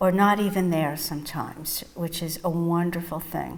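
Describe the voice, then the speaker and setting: The speech comes at a fairly slow pace in a New York accent, with ordinary pitch variation. Audible room echo surrounds it. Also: woman. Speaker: psychotherapist and mindfulness teacher. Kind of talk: interview testimony.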